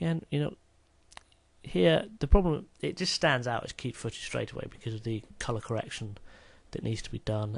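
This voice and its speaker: A somewhat breathy man at medium pitch talks at a moderate pace, with very wide pitch swings and big swings in loudness. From Britain. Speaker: video editing hobbyist. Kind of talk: tutorial. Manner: casual, hesitant with fillers.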